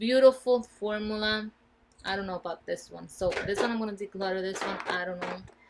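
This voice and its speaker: With a Spanish accent and a medium pitch, a woman speaks fairly quickly with fairly even intonation and big swings in loudness over noticeable background noise. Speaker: beauty vlogger. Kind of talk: casual product review. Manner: casual, with fillers.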